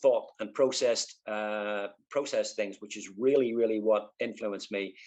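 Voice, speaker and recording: With a Northern Irish accent, a man speaks at a moderate pace. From Northern Ireland, East Belfast. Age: 50s. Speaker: artist. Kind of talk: interview. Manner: halting, many fillers.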